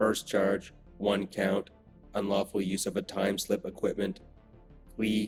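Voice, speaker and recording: Using a robotic put-on character voice, a man speaks fairly slowly at a fairly low pitch with long, frequent pauses while faint music plays in the background. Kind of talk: formal, procedural. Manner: flat, mechanical, emotionless.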